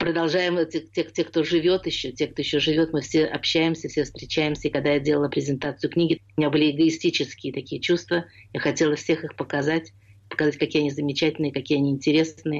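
Her pitch is very deep and low for a woman, and she speaks fairly quickly. Her intonation stays monotone and flat. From Russia (Leningrad). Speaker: theatre scholar and memoirist. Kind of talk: radio interview.

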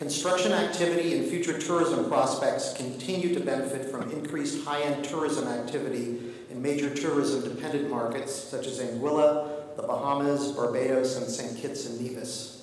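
Through strong room echo, a man speaks at a moderate pace with fairly even intonation and hardly any pauses. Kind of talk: formal conference speech. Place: hall. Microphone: podium.

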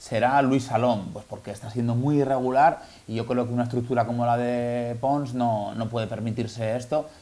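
This man talks at a fairly quick pace in a medium pitch, his tone dark and mellow.

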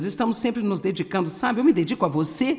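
Noticeable background noise fills the clip. The talking is very fast. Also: woman. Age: old. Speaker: Bible teacher. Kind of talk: sermon.

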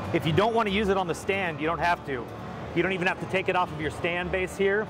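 Music plays in the background while a man talks at a fairly quick pace. His voice is high-pitched with fairly even intonation. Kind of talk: product demonstration. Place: hall.

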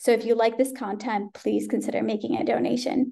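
A woman speaks in a dark, mellow tone with vocal fry. The background is quiet. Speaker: webinar host. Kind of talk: webinar announcements. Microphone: webcam.

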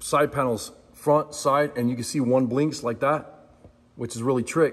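Keeping a moderate pace, the man holds his intonation fairly even. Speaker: product reviewer. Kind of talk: casual product review chat. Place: workshop. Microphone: phone near.

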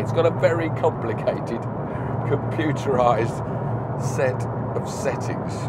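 Loud background noise behind a man's voice. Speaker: car reviewer driving. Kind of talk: commentary. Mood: mildly exasperated, amused. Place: car. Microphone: lapel.

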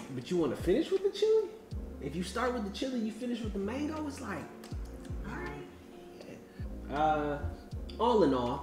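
Against clear music in the background, a man talks at a moderate pace with long, frequent pauses. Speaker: vlogger host. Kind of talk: casual vlog chat. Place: home room. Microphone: camera far.

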